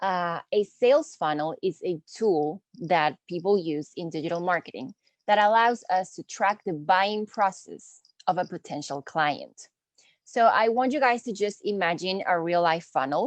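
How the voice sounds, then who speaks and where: Recorded with a dry, close sound, no echo and a quiet background, a woman speaks in a Spanish accent with ordinary pitch variation. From Peru. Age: 20s. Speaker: marketing instructor. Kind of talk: online lecture. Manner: casual, friendly.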